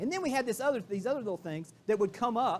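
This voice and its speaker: A man talks at a very fast pace with a Southern US accent. His intonation is lively and his tone animated. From Florida, US South. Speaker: keynote speaker, real estate executive. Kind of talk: motivational keynote. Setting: stage with audience.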